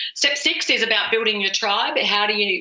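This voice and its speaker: A woman with an Australian accent speaks at a fairly quick pace over noticeable background noise. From Australia, rural dairy farm. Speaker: author and speaker. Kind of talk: podcast interview. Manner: animated.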